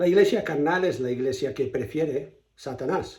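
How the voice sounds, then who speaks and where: Somewhat breathy, a man speaks at a fairly slow pace in a dark, mellow tone. Audible room echo surrounds his voice. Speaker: pastor. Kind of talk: sermon.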